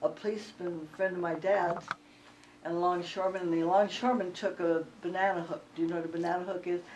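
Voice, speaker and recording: A woman's very fast, fairly low voice in an American accent, with fairly even intonation and noticeable background noise. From US West Coast, San Pedro, Los Angeles. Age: 80s+. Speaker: retired nurse. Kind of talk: oral history interview. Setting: at her home. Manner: conversational, with fillers and repetitions.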